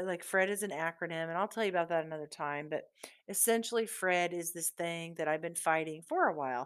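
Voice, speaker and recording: A woman speaks in a Midwestern American accent. Her pitch is fairly low, with fairly even intonation. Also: very clean recording, silent background. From US Midwest, southeast Iowa. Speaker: podcast host. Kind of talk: casual monologue.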